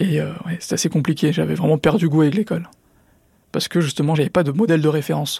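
A man talks at a fairly quick pace in a fairly high voice with a dark, mellow tone and ordinary pitch variation. The sound is dry and close, with no echo. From Drancy, Seine-Saint-Denis, France. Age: 20s. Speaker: entrepreneur, former student. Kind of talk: interview testimony. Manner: uses filler words, hesitant.

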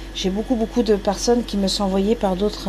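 A woman talks at a very fast pace and medium pitch with fairly even intonation. Noticeable background noise is present. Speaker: farm inn cook. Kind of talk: casual interview while cooking. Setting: farm inn kitchen and garden.

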